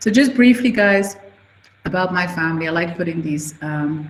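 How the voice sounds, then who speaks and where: This woman's voice sits fairly low in pitch and moves at a moderate pace. Noticeable background noise runs underneath. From Switzerland. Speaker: media company CEO. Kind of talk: guest talk to students. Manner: casual, conversational.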